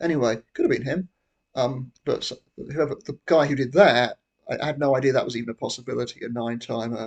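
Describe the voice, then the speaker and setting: A man with a British accent talks very fast at a medium pitch with ordinary pitch variation, the sound dry and close with no echo. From Britain. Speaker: YouTuber. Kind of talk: casual monologue. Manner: halting.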